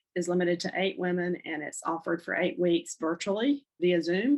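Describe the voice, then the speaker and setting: A woman with a North Carolina accent, medium in pitch, with ordinary pitch variation. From North Carolina (Charlotte). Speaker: divorce counselor and podcast host. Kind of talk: podcast monologue, promoting services. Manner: hesitant, many fillers.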